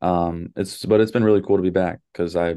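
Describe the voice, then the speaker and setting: A man with an American accent speaks with a very deep, low pitch and a dark, mellow tone. His pace is moderate, and the background is quiet. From Dallas, Texas. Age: 20s. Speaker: basketball coach. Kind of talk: interview.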